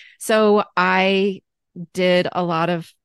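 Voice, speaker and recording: A plain, everyday voice with fairly even intonation, dry and close with no echo, over a quiet background. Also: woman. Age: 40s. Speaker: life balance coach. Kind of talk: interview.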